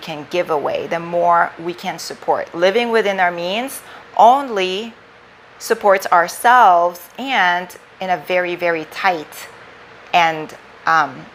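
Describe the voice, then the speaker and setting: Through noticeable background noise, a woman with a non-native accent speaks at a very slow pace, her fairly low pitch showing ordinary variation. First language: not English. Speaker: life coach / live streamer, former finance worker. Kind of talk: livestream talk. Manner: casual, slightly halting.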